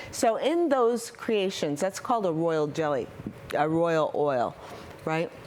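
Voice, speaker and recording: Over noticeable background noise, a woman speaks very slowly at a fairly low pitch, her loudness very even and her pitch swinging very widely. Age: 60s. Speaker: soap maker, small business owner. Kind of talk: interview.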